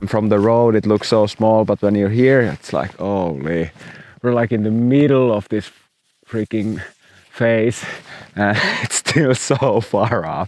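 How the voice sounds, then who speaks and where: Pausing long and often, a man with a Finnish accent speaks in a fairly low pitch. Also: ordinary pitch variation, fairly slow pace. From Finland. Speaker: professional snowboarder. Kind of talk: vlog commentary.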